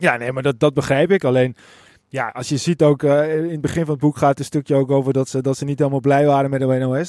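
Talking at a very fast pace, a man has a fairly high pitch and a dark, mellow tone. His intonation is fairly even, and the sound is dry and close with no echo. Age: 30s. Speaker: podcast host. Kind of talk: casual chat. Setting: outdoors.

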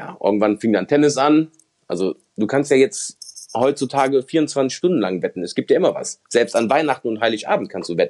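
A man with a medium pitch speaks at a fairly quick pace, with lively intonation and vocal fry. The sound is dry and close, with no echo. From Germany, Mönchengladbach (Lower Rhine). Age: 30s. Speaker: former gambling addict and convicted fraudster. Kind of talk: testimony.

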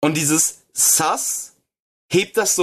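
A man talks very slowly at a fairly high pitch. His pitch varies in an ordinary way. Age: 20s. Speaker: podcast co-host. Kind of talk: casual chat.

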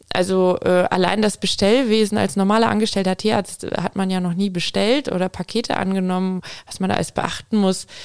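A plain, everyday voice at a fairly quick pace, with fairly even intonation. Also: woman, medium pitch for a woman. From Aalen area, Baden-Württemberg. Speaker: veterinarian. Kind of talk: interview.

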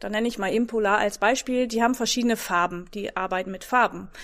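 A woman with a Dutch accent speaks at a fairly high pitch. The recording is very clean and the background silent. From Netherlands. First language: Dutch (speaking German). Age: 40s. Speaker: fitness trainer. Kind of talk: casual interview.

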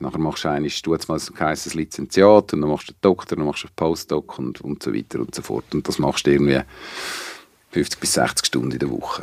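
A man's very deep, low voice with vocal fry, ordinary pitch variation, big swings in loudness, a fairly quick pace, and a dry, close sound with no echo. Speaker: venue operator and sound technician. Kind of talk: casual interview. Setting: studio.

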